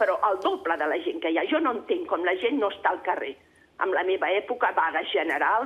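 Noticeable background noise runs under a woman whose pitch swings very widely. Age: 60s. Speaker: caller. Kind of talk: phone-in comment. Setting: phone call. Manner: agitated.

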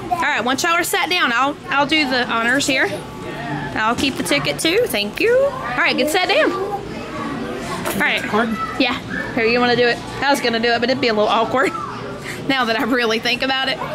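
A woman's raised, projected voice at a fairly quick pace, with clear music in the background. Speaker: family vlogger filming. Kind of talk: casual vlog chat. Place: hall. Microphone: phone near.

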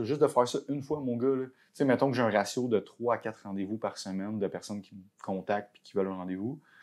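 Speaking in a Quebec accent at a fairly quick pace, a man uses a fairly low pitch with ordinary pitch variation against a quiet background. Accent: Québécois French. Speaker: tattoo artist; podcast guest. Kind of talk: casual chat. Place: home room. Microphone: lapel.

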